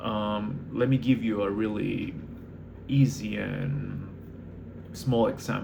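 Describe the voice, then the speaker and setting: Speech comes at a very slow pace, with long, frequent pauses and lively intonation in a non-native accent. The tone is dark and mellow, and the room echo is audible. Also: man, fairly low pitch for a man. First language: not English. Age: 20s. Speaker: barista manager and vlogger. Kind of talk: casual monologue vlog. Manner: hesitant, many fillers.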